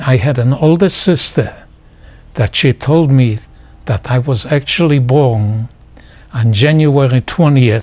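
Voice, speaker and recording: At a very slow pace, a man speaks at medium pitch in a somewhat breathy voice with very even loudness and ordinary pitch variation. His pauses are long and frequent. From Poland. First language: Polish or Yiddish. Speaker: Holocaust survivor. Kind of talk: oral history interview. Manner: halting.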